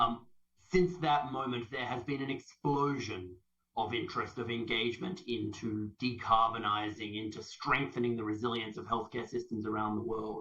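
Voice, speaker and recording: Moderate pace and medium pitch from a man, the pitch varying in an ordinary way. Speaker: health service sustainability leader. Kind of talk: conference presentation. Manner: animated.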